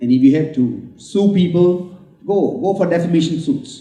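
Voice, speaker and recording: Amid audible room echo, a man speaks at a fairly slow pace and a high pitch. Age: 70s. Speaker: book launch speaker. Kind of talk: speech at book launch.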